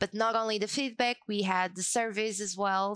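A woman talks at a fairly slow pace in an ordinary speaking voice, with fairly even intonation. The recording is very clean, with a silent background. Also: dry, close sound with no echo. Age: 20s. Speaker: community officer at a software company. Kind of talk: interview.

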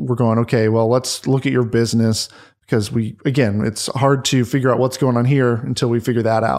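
Using a normal speaking voice, a man keeps fairly even intonation at a medium pitch while moving at a fairly quick pace. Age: 30s. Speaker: business finance coach. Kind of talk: casual interview chat.

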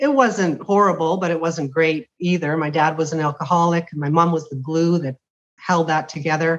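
A woman with an unremarkable speaking voice, fairly low in pitch, with ordinary pitch variation at a moderate pace. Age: 60s. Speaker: retired teacher. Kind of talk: casual chat.

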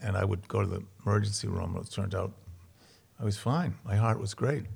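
With an American accent, a man speaks at a fairly low pitch and a fairly quick pace. His voice is somewhat breathy with ordinary pitch variation, on a very clean recording with a silent background. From Boston, Charlestown. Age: 70s. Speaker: comedian and actor, works with inmates. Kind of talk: casual interview, storytelling. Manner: animated, joking.

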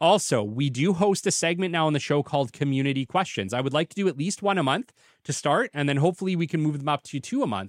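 A man with a Canadian accent talks very fast in a fairly high pitch, his intonation lively. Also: dry, close sound with no echo, very clean recording, silent background. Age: 30s. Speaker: podcast host, business development consultant. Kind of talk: solo podcast monologue. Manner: casual, conversational.

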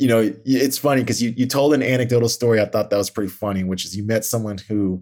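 On a very clean recording with a silent background, a man talks in an ordinary speaking voice at a medium pitch, fairly quick pace and fairly even intonation. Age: 40s. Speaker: guest podcast host. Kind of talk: interview, casual chat.

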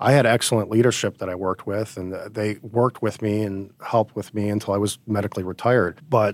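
Fairly low pitch from a man at a very fast pace, on a very clean recording with a silent background. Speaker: Iraq war veteran and chief technology officer. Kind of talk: casual interview chat.

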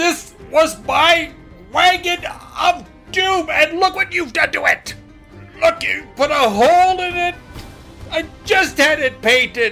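In a put-on character voice with an extremely high pitch, the speaker goes at a fairly slow pace as music plays clearly behind. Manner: growling, cute; furious.

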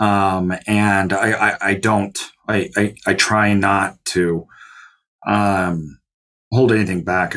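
In an ordinary speaking voice, a man talks at a fairly low pitch with fairly even intonation. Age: 30s. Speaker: self-storage investor and CEO. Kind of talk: interview.

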